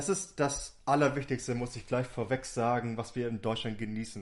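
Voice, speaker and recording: In a plain, everyday voice, a man speaks at medium pitch with ordinary pitch variation. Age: 30s. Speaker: youth party district manager. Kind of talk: casual chat.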